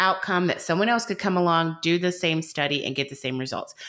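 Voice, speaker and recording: With a Southern US accent, a woman talks at a fairly quick pace in a fairly low pitch and a bright, sharp tone. The recording is very clean, with a silent background. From US South, coastal southeast Georgia. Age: 30s. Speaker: dietitian. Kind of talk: casual chat.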